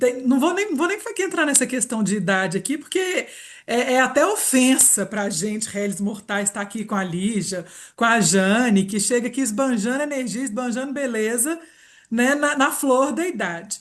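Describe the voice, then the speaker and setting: The delivery has an animated tone and lively intonation. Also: woman, high pitch for a woman, moderate pace. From Minas Gerais, Brazil. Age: 40s. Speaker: reiki therapist and aromatherapy presenter. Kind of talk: live webinar presentation.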